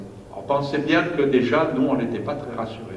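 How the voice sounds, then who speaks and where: A man with a Marseille accent speaks at medium pitch, with audible room echo and noticeable background noise. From southern France, Marseille. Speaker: pastor. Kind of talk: sermon. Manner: hesitant, frequent fillers and repetitions.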